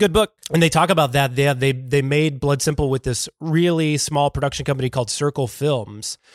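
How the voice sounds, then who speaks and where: Using an ordinary speaking voice, a man talks at a fairly quick pace with hardly any pauses, a fairly high pitch and ordinary pitch variation, in a dry, close sound with no echo. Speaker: podcast host. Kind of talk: casual chat.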